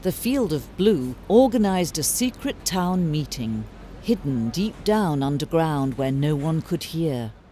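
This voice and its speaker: A woman with a British accent, very deep and low pitch, very wide pitch swings and a fairly slow pace. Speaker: narrator. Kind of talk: fairy tale narration.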